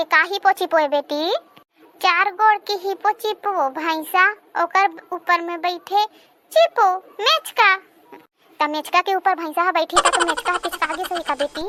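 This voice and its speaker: In a cartoonish character voice at an extremely high pitch, a woman speaks at a moderate pace with ordinary pitch variation, the sound dry and close with no echo. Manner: scolding, bickering.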